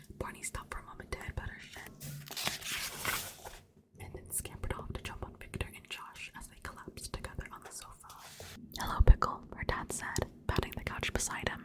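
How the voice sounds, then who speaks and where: A woman whispers at a moderate pace, her loudness swinging widely. Noticeable background noise is present. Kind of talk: audiobook-style reading of a novel, ASMR. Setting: home recording with a desktop USB microphone. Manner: soft-spoken, whispering, ASMR.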